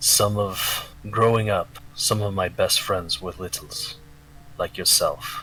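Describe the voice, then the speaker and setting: In a put-on character voice, a soft-spoken man sounds gravelly at a fairly slow pace, with clear background noise. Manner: soft, reassuring.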